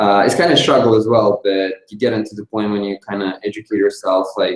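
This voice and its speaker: A man's fairly low voice, monotone and flat, at a fairly quick pace. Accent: Russian. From Russia. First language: Russian. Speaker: DJ and music producer. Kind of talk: interview.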